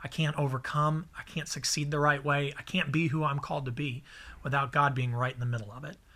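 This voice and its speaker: A man speaks fairly quickly in a fairly high voice, his tone both warm and bright and sharp, with fairly even intonation. The recording is very clean, with a silent background. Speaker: pastor. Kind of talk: devotional teaching and prayer, a short sermon-style message. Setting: recorded video/podcast message for a church series. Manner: earnest, fervent, pleading; conversational, warm, encouraging.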